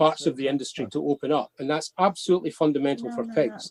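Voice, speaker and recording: A man's fairly high voice in a Scottish accent, moderate pace and ordinary pitch variation, dry and close with no echo. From Scotland. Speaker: pig industry traceability expert. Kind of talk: webinar talk. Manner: repeats words, halting in places.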